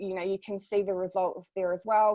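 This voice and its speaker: This woman has a New Zealand accent and a medium pitch. Her delivery is monotone and flat. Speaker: social media marketing consultant. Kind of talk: webinar presentation.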